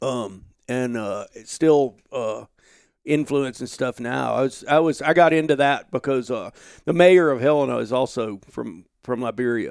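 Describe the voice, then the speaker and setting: A man speaks with an Alabama accent. The recording is very clean, the background silent. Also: medium pitch for a man, ordinary pitch variation, fairly slow pace. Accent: Southern US, Alabama. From US South, Alabama. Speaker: outdoor journalist and podcast host. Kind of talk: casual interview chat. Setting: home office.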